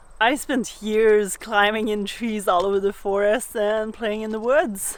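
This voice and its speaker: A woman speaks in a French Canadian accent at a fairly slow pace. Her fairly high pitch has fairly even intonation. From Quebec, Canada. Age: young. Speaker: sailing vlogger. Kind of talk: casual vlog chat; vlog narration.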